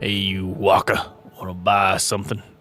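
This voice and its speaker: Faint music plays behind a man doing a put-on character voice. His pitch is fairly low and his pace moderate. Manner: hawking wares, pushy.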